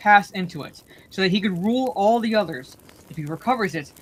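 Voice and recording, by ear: Reading aloud in a natural voice, pitch varying by an ordinary amount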